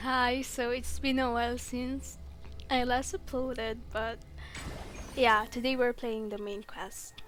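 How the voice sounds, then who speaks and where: A woman with a non-native accent speaks at a fairly slow pace, her high pitch set in fairly even intonation. Music plays in the background, and room echo is audible. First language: not English. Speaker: gaming youtuber. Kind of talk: casual gameplay commentary.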